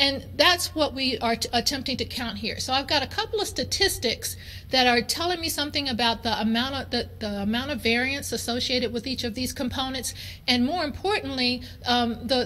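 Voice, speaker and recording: A woman with a high pitch and a bright, sharp tone talks at a fairly quick pace with ordinary pitch variation, and audible room echo surrounds her voice. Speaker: chemistry professor. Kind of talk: conference lecture. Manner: fast.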